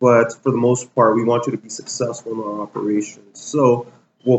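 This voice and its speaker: Medium-pitched, moderately paced male speech in an unremarkable speaking voice. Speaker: real estate agent. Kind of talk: interview answer.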